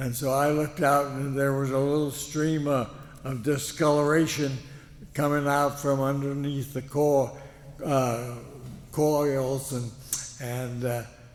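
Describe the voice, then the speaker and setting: A man with an American accent talks at a fairly high pitch, his intonation flat and monotone. Long pauses come often, with noticeable background noise behind him. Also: fairly slow pace. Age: 80s+. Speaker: war veteran. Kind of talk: speech to an audience. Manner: halting, many fillers.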